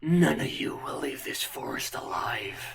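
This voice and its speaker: Booming, growling put-on character voice at a moderate pace. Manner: menacing, threatening.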